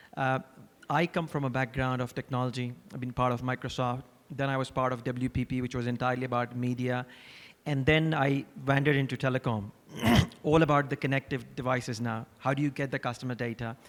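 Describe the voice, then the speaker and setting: A man speaking at a very fast pace, fairly even intonation, noticeable background noise. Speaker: marketing executive on a panel. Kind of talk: panel discussion. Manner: hesitant, with fillers.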